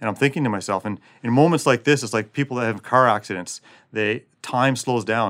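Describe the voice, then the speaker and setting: With a plain, everyday voice and a Canadian accent, the speaker moves at a fairly quick pace with ordinary pitch variation in a very clean recording against a silent background. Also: man, medium pitch for a man. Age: 40s. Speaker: special forces soldier. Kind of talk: interview.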